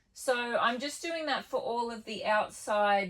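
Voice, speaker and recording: A woman with a fairly high pitch, ordinary pitch variation and a fairly slow pace, a plain, everyday voice. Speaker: DIY builder and vlogger. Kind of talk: DIY vlog narration. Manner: casual, relaxed.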